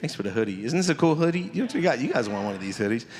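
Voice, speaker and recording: At a medium pitch, a man talks with an American accent. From Hayward, California (Bay Area). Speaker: pastor and nonprofit consultant. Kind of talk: presentation to a community audience. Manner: casual, interactive.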